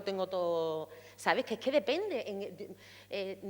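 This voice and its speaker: A woman's animated voice with a Sevillian accent, medium pitch and very wide pitch swings. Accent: Seville Andalusian. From Andalusia, Seville. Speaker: actress. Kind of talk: panel discussion.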